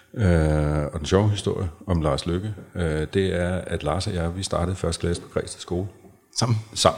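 Intonation stays fairly even while the words come at a moderate pace. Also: man, very deep, low pitch for a man. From North Zealand, Denmark. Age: 50s. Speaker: men's and couples therapist. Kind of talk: casual interview conversation.

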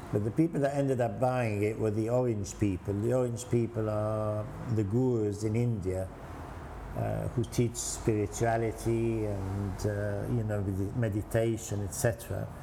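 Over noticeable background noise, a man speaks fairly slowly with a fairly low pitch and fairly even intonation. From Egypt. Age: 70s. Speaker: restaurant owner. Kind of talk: casual interview. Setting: restaurant.

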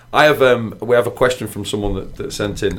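The speaker has a Manchester accent and ordinary pitch variation. The pace is fairly quick. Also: man. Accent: northern English (Manchester). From northwest England, near Manchester. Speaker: podcast host. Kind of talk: casual interview chat. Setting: studio.

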